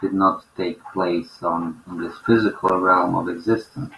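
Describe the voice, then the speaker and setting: Over noticeable background noise, a man with a non-native accent speaks with fairly even intonation and a very deep, low pitch. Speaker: spiritual teacher. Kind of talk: spiritual talk.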